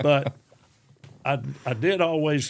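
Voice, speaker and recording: In a very clean recording with a silent background, a man with an East Tennessee accent speaks at a medium pitch with ordinary pitch variation. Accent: Southern US, East Tennessee. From Anderson County, Tennessee. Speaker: retired Army officer and educator. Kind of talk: interview answer.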